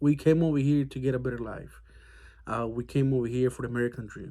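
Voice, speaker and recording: A man's dark, mellow, medium-pitched voice with fairly even intonation, on a very clean recording with a silent background. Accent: Mexican. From Mexico. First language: Spanish. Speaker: army veteran. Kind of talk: casual monologue. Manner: hesitant, many fillers.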